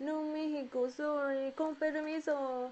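The speaker has a Japanese accent and talks at a very slow pace. The intonation stays fairly even. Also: woman. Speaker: origami livestreamer; origami teacher. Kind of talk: live-stream tutorial. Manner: halting; giggly. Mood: cheerful, apologetic. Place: home room. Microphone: earbuds.

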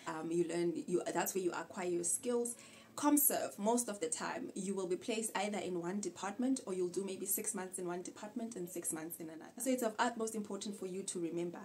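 A woman speaks fairly quickly, with hardly any pauses and ordinary pitch variation. Light background noise is audible. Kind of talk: casual advice vlog. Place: home room.

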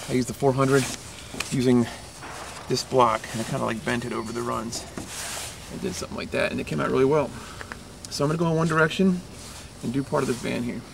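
A man rattles along at a very fast pace with noticeable background noise around him. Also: ordinary pitch variation. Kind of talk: tutorial. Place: street. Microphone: camera far.

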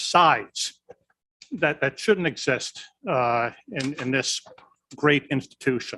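A man speaks at a very slow pace with ordinary pitch variation. The sound is dry and close, with no echo. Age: 60s. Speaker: county supervisor. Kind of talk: public meeting speech. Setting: county board meeting room. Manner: halting.

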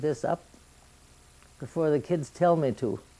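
A dark, mellow tone with fairly even intonation at a moderate pace. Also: woman. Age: 80s+. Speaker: grandmother. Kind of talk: interview answer. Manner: conversational, plain-spoken. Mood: calm, matter-of-fact. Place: home room. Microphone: old recording.

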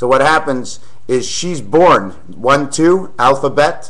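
A man's fairly high voice shows ordinary pitch variation, with noticeable background noise present. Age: 40s. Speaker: video blogger. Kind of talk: rambling monologue. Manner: slow.

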